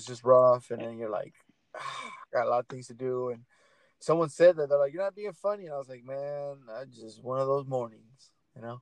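Speaking with an American accent and a plain, everyday voice, a man talks fairly quickly at a medium pitch with ordinary pitch variation. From Portland, Oregon. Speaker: podcast host. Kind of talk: casual chat.

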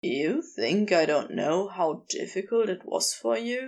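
Putting on a character voice, a soft-spoken woman drawls slowly at a medium pitch, her voice making big pitch swings.

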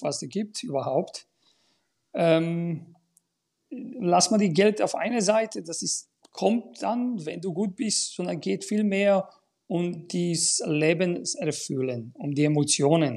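In a Bulgarian accent, a man speaks at a very slow pace with a high pitch. His tone is dark and mellow, and his intonation is lively. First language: Bulgarian (speaking German). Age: 50s. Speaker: tennis school owner and coach. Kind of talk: casual chat.

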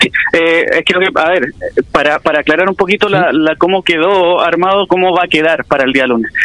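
Very even loudness at a moderate pace, with ordinary pitch variation. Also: man, high pitch for a man. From Chile, Quilpué. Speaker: history teacher and local political candidate. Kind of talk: radio interview. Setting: phone call.

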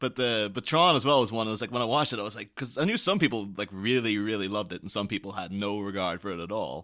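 With an Irish accent, a man speaks at a very fast pace with hardly any pauses, a fairly low pitch, ordinary pitch variation and a bright, sharp tone, on a very clean recording with a silent background. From Ireland, small town. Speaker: podcast guest co-host. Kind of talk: casual chat.

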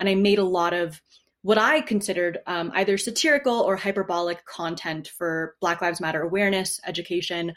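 An unremarkable speaking voice, a woman with an American accent talks fairly quickly at a medium pitch with ordinary pitch variation. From US Northeast, New Haven, Connecticut. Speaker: activist and university student. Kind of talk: interview.

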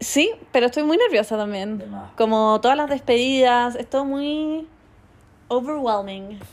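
Speaking in a Chilean accent, a woman with a high voice goes at a fairly slow pace, leaving long, frequent pauses. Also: ordinary pitch variation. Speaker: influencer. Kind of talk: casual chat.

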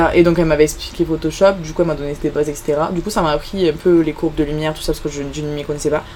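A woman talking very fast amid noticeable background noise. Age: young. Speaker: student photographer. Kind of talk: interview. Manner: halting.

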